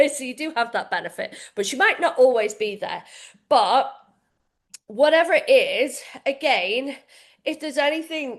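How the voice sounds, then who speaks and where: A woman with a British accent speaks in a high voice with lively intonation, big swings in loudness and long, frequent pauses against a quiet background. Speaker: fitness coach. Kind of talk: live coaching session for members. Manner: fast.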